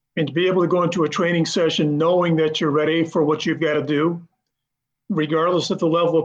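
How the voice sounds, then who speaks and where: A man with a high pitch talks at a very fast pace with fairly even intonation. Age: 50s. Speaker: masters runner. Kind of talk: interview.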